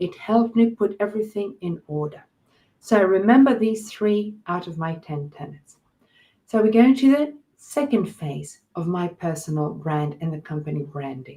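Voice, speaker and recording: A woman speaks at medium pitch and a moderate pace, somewhat breathy with a dark, mellow tone. Her pitch swings very widely and her loudness rises and falls sharply. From Australia. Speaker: life coach and trainer. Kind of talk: webinar presentation. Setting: online webinar.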